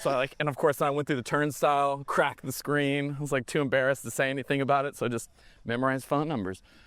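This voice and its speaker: Talking at a very fast pace, a man with a Texas accent has a fairly high pitch and fairly even intonation. The recording is very clean, with a silent background. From Texas, East Dallas. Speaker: film director. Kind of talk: casual chat. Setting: outdoors.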